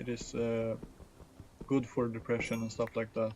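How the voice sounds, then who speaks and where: A man speaks with a non-native accent. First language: not English. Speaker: gaming streamer. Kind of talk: casual chat. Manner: halting, many fillers and restarts.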